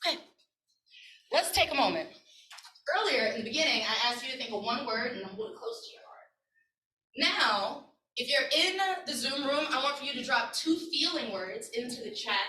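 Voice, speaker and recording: With an American accent, a woman uses a raised, projected voice at a high pitch, her pitch swinging very widely and her loudness in big swings, at a moderate pace with long, frequent pauses and audible room echo. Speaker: community organizer and workshop leader. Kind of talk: workshop presentation. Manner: animated.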